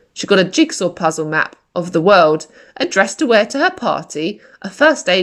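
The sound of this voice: The passage is delivered in an unforced reading voice.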